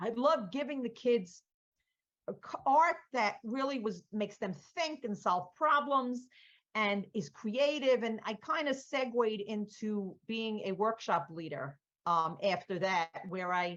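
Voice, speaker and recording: Her fairly high pitch swings very widely as the woman speaks. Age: 60s. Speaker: art workshop leader. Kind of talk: interview.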